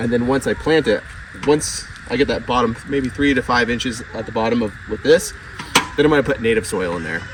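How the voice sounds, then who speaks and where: Over noticeable background noise, a man talks at a fairly quick pace. His medium pitch shows ordinary variation. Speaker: homesteader. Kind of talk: tutorial. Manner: casual.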